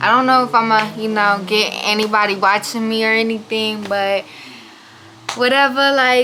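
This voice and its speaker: A woman talks quietly at a fairly slow pace, her fairly high voice monotone and flat. Noticeable background noise runs underneath. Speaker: YouTuber. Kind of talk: storytime. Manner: casual, filler-heavy.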